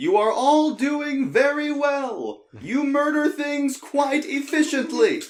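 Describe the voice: Shouting in a put-on character voice with an extremely high pitch, a man goes at a fairly slow pace with hardly any pauses.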